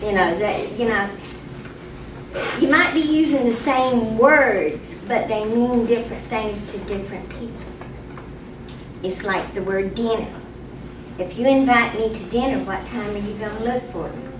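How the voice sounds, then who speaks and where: Spoken in an Appalachian accent with ordinary pitch variation, the voice swings greatly in loudness and breaks into long, frequent pauses amid audible room echo and noticeable background noise. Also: woman, fairly high pitch for a woman, moderate pace. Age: old. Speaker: local root digger. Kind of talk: public hearing comment. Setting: public hearing.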